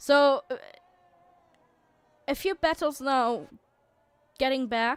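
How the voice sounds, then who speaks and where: With long, frequent pauses, a woman speaks very slowly in a high voice, with ordinary pitch variation and a dry, close sound with no echo. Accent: non-native. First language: not English. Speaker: sim racing league commentator. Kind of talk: live commentary. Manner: halting, many fillers and restarts.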